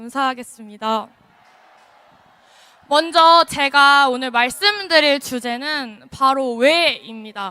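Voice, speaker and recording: A woman speaks at a very slow pace in a raised, projected voice, high in pitch with lively intonation. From Gyeonggi Province, South Korea. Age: 20s. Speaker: rally speaker. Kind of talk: political rally speech. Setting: outdoors.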